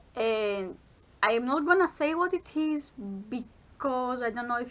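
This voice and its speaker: The speaker is a woman with a non-native accent. Her pitch is fairly high. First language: not English. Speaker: vlogger, university student. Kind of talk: casual vlog chat. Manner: halting with self-corrections.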